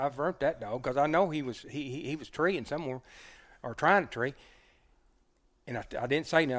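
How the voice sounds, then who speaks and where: A man with an Oklahoma accent speaks at a fairly quick pace in a fairly high pitch, with ordinary pitch variation, on a very clean recording with a silent background. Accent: rural southern US (Oklahoma). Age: 60s. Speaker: hunter and dog man. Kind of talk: casual storytelling interview. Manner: halting, repeats words.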